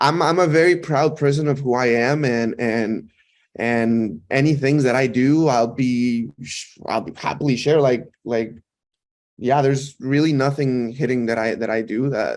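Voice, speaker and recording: With a Mexican accent, a man talks at a fairly slow pace and with ordinary pitch variation. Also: medium pitch for a man. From Mexico. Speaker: actor. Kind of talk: interview chat. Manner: halting, many repeated words.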